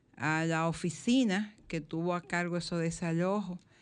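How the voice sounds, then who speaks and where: A woman speaks at a very slow pace in a fairly low pitch. The background is quiet. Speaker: radio host. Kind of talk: radio magazine chat and commentary. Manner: animated.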